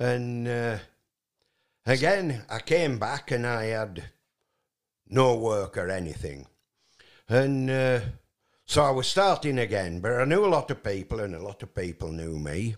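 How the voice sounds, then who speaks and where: A man at medium pitch, fairly slow with long, frequent pauses and very wide pitch swings, on a very clean recording with a silent background. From northern England, West Riding of Yorkshire. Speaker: retired haulage business owner and musician. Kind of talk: casual interview, life story. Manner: halting, many fillers.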